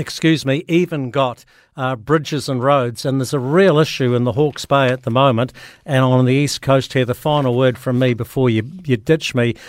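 Fairly even intonation in a New Zealand accent, on a very clean recording with a silent background. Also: man. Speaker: rural radio host. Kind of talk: casual chat. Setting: radio studio link. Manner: halting.

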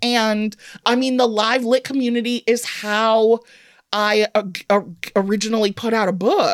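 In an American accent, a woman with an unremarkable speaking voice talks at a fairly high pitch with ordinary pitch variation, in a dry, close sound with no echo. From Evanston, Illinois. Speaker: humorist author. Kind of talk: casual interview. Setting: studio.

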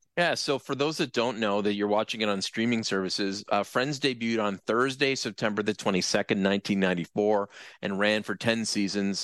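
In an ordinary speaking voice, a man with a fairly low pitch and ordinary pitch variation talks with hardly any pauses, in a dry, close sound with no echo against a quiet background. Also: fairly quick pace. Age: 50s. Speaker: TV commentator. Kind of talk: interview.

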